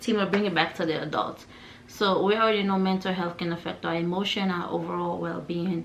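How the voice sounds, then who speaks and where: With a non-native accent, a woman speaks at medium pitch, a moderate pace and fairly even intonation. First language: not English. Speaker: lifestyle vlogger. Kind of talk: personal vlog talk. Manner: casual, conversational.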